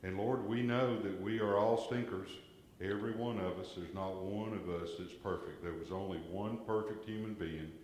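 With a Southern US accent, a man speaks at a fairly low pitch and a moderate pace with fairly even intonation, amid audible room echo and light background noise. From US South. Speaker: lay worship leader. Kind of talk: church announcements and prayer. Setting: church. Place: church. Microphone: camera far.

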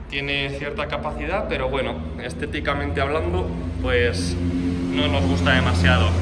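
Loud background noise fills the recording. Through it, a man talks at a moderate speed. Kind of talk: tutorial walkaround commentary. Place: garage. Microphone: phone near.

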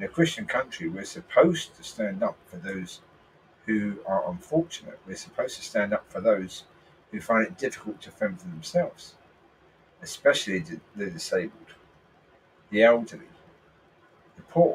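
With a British accent, a man speaks with long, frequent pauses and big swings in loudness. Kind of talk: religious and political commentary.

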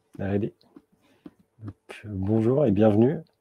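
Against a quiet background, a man's fairly low-pitched voice comes through as a dry sound with no echo. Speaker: software developer; conference speaker. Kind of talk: tech talk. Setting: stage with audience. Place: meeting room.

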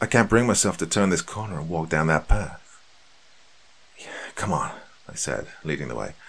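A quiet man speaks with a very deep, low pitch and vocal fry. His loudness swings widely, with long, frequent pauses. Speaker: horror story narrator. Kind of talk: scripted horror narration. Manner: hushed, tense, suspenseful; measured, dramatic pacing. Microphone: studio mic.

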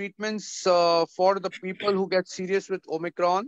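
Against a quiet background, a man with a high pitch speaks at a fairly slow pace. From India. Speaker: panel moderator. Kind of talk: online panel discussion. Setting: video call. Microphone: video call.

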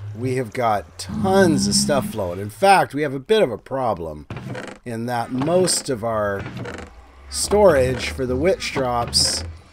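Over noticeable background noise, a man talks at a very slow pace with very wide pitch swings. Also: medium pitch for a man. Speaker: gaming YouTuber. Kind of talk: gameplay commentary.

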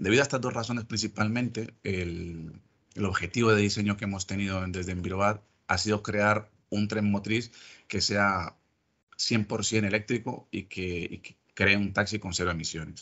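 Speaking at a moderate pace against a quiet background, a man has a normal speaking voice, a fairly low pitch and fairly even intonation. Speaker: lab technician. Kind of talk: technical presentation. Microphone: video call.

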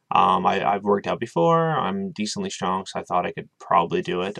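A man speaks at a fairly quick pace with a fairly low pitch. His pitch varies in an ordinary way over a quiet background. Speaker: vlogger. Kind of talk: casual vlog chat. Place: home room. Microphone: webcam.

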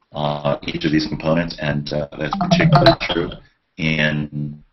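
A man talks at a fairly slow pace. Loud background noise runs behind him. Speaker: photographer and artist. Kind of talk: lecture. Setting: video call. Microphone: video call.

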